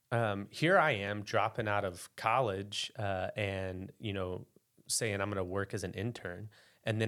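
A man with an American accent has a fairly low pitch, ordinary pitch variation and a plain, everyday voice, captured on a very clean recording with a silent background. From US South, eastern Arkansas Delta (West Memphis). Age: 30s. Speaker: pastor. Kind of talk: testimony.

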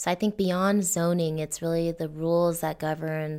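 A woman with a Californian accent talks at a fairly quick pace in a fairly low pitch. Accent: Californian American English. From Los Angeles, Northeast (Frogtown). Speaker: nonprofit urban design director. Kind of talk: interview.

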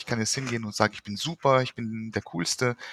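A man speaks very fast in a bright, sharp tone, the sound dry and close with no echo. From Luxembourg. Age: 40s. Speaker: psychotherapist and author. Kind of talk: interview.

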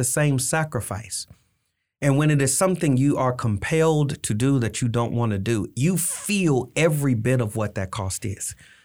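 In a normal speaking voice, a man talks at a moderate pace with a fairly high pitch and lively intonation. The recording is very clean, with a silent background. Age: 50s. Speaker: pastor. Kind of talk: interview. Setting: studio.

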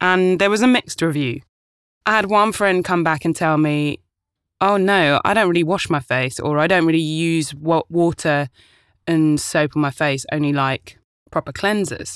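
A woman with a British accent speaks at a moderate pace in a fairly low pitch, with ordinary pitch variation and very even loudness. The recording is very clean and dry, close with no echo, and the background is silent. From UK, Ghanaian family. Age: 30s. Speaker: podcast host and actor. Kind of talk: casual monologue. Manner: animated.

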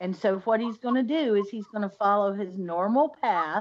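A woman with an ordinary speaking voice talks at medium pitch and a moderate pace, her intonation lively against a quiet background. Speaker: podcast co-host. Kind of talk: casual chat.

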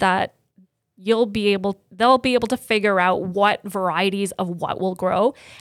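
A woman's normal speaking voice at a fairly high pitch and moderate pace, in a very clean recording with a silent background and a dry, close sound with no echo. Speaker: chef. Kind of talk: casual chat.

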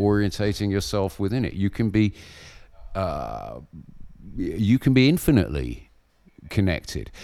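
A man with a southern English accent speaks at a moderate pace and a fairly low pitch, in a dark, mellow tone with vocal fry. His pitch swings very widely, and he leaves long, frequent pauses. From southern England, Berkshire. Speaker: Buddhist monk. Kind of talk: interview. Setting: remote call.

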